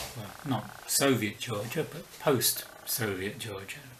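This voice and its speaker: With a slight London accent, a man talks at a fairly slow pace, his medium pitch showing ordinary variation. Audible room echo and noticeable background noise fill the clip. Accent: weak London. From southern England (Slough, near London). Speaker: book vlogger. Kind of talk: video essay.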